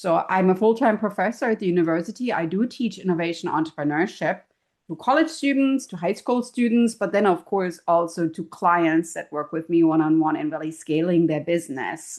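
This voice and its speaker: With a German accent, a woman talks at a fairly quick pace with hardly any pauses. Her medium pitch moves with lively intonation over a quiet background. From Germany. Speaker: professor and keynote speaker. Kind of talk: podcast interview. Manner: animated.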